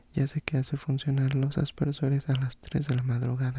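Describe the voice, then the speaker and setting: Soft-spoken and somewhat breathy, the voice has a dark, mellow, gentle, calm tone, flat monotone intonation, a moderate pace and a dry, close sound with no echo. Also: man. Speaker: ASMR content creator. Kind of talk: audiobook-style narration of a fantasy novel. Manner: soft-spoken, gentle, calm.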